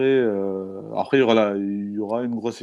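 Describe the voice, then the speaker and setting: The background is quiet as a man speaks in a dark, mellow tone. His intonation is fairly even. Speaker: football podcast host. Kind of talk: casual panel discussion.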